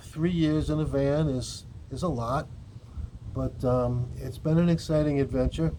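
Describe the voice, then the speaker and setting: A man with a normal speaking voice talks at a moderate pace, fairly high in pitch with fairly even intonation. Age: 60s. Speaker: cannabis vlogger. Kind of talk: casual vlog monologue.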